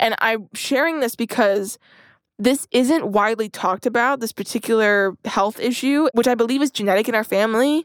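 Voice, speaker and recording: On a very clean recording with a silent background, a woman with a fairly high pitch talks at a moderate pace, her loudness very even and her pitch variation ordinary. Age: 20s. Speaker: podcast co-host. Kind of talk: casual chat.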